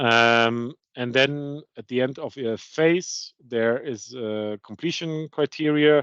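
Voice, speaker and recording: An unremarkable speaking voice with ordinary pitch variation comes through dry and close with no echo, over a quiet background. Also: man. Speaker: procurement consultant presenting. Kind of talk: webinar presentation.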